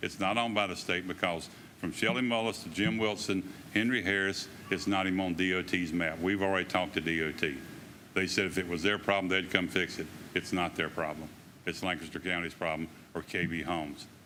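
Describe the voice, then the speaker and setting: A very fast man's voice with a Southern US accent, very deep and low in pitch, bright and sharp in tone, with fairly even intonation. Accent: US South. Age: 70s. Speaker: resident making public comment. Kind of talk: public comment.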